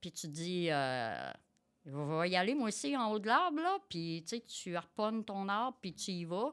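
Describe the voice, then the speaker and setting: At a fairly slow pace, a woman with a Quebec accent speaks at medium pitch with very wide pitch swings and big swings in loudness, on a very clean recording with a silent background. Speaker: tradeswoman and quality director. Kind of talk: interview conversation. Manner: energetic; hesitant, many fillers.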